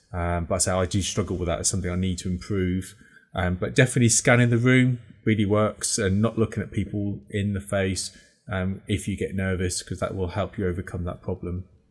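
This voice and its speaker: A man talks at a fairly quick pace in a very deep, low pitch, somewhat breathy and with fairly even intonation. The recording is very clean, with a silent background. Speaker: podcast host. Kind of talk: casual chat. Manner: fast.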